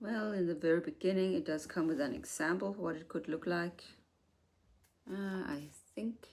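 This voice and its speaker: A woman with a non-native accent speaks at a moderate pace with lively intonation. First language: not English. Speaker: haul video creator. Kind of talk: product review.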